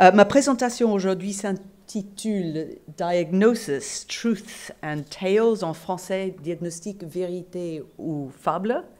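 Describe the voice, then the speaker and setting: Speaking very slowly and with hardly any pauses, a woman uses a medium pitch and ordinary pitch variation. Her loudness swings widely. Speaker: professor and nurse. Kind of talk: conference lecture. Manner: hesitant, many fillers.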